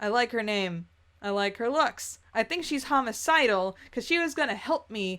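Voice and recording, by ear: A passage is read aloud in a natural voice, its intonation lively.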